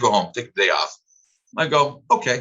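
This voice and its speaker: Here a man speaks at a medium pitch. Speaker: business owner in the pool industry. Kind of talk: interview. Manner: fast.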